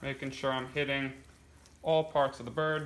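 A man talks at a moderate pace in a medium pitch with a fairly bright tone and little pitch movement, and audible room echo.

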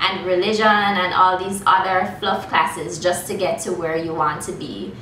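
A woman speaking amid light background noise, with audible room echo. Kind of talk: promotional talk to camera. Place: workshop. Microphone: camera far.

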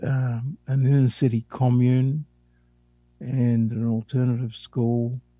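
At a very slow pace, a man talks in a dark, mellow, somewhat breathy voice. His intonation is fairly even, and the sound is dry and close with no echo. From Australia, Sydney. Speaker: psychotherapist. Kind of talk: interview.

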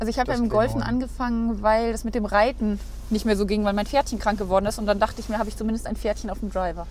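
Over light background noise, a woman speaks at a very fast pace in a monotone, flat intonation, with a dry sound and no echo. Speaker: vlogger host driving. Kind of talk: casual vlog chat. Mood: cheerful, laughing. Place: car. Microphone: lapel.

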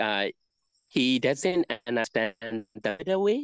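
Lively intonation marks this voice with a Burmese accent, recorded dry and close with no echo against a quiet background. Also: man. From Myanmar; Mandalay, Myanmar. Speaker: Buddhist monk. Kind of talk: interview conversation answering questions. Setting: video call. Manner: halting, repetitive.

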